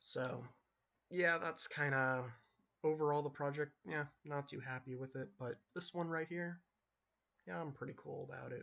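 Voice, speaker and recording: Soft-spoken and relaxed in tone, a man with a fairly high pitch and ordinary pitch variation talks at a moderate pace with long, frequent pauses. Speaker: solo vlogger. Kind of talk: casual monologue. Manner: laid back, relaxed. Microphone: recording very quiet, mic not picking up voice.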